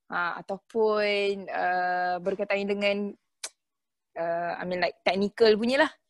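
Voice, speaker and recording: Her pitch sits in the medium range for a woman, her pitch variation is ordinary, and she speaks at a very slow pace. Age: 20s. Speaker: takaful consultant. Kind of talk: casual interview chat.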